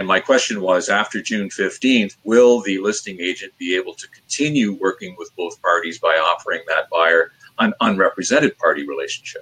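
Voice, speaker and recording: Talking at a fairly quick pace, a man's voice swings widely in loudness. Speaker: managing broker, interview guest, former radio broadcaster. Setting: online live video interview.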